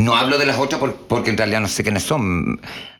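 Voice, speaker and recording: With a Chilean accent, a man speaks at a medium pitch over noticeable background noise. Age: 50s. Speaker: drag performer. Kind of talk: casual interview.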